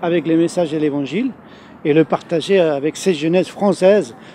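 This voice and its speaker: Over noticeable background noise, someone with an Argentine accent speaks at a fairly quick pace with ordinary pitch variation. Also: man. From Argentina. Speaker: youth ministry leader. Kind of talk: interview. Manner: hesitant, many fillers.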